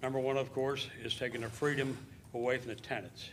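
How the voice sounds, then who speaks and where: With audible room echo, a man speaks at a medium pitch and a moderate pace. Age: 70s. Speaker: landlord speaking at public comment. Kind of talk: public comment at council meeting. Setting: city council chamber. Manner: unscripted, hesitant with fillers.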